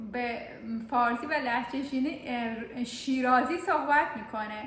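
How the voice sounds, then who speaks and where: Noticeable background noise and audible room echo around fairly even intonation. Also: woman. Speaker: vlogger. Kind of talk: casual vlog chat.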